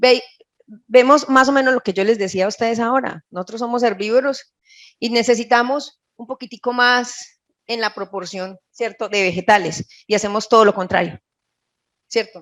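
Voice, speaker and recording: Moderate pacing with big swings in loudness and ordinary pitch variation. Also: woman, fairly high pitch for a woman. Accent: Colombian paisa. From Colombia, Caldas. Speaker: nutritionist. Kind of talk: lecture.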